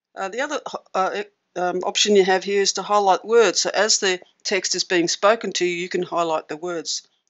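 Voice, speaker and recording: A woman with an Australian accent, medium pitch, ordinary pitch variation and a moderate pace. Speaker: tech tutorial presenter. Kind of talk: tutorial. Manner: casual with frequent fillers.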